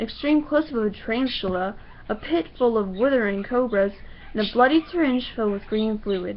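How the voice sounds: The clip has a natural reading voice.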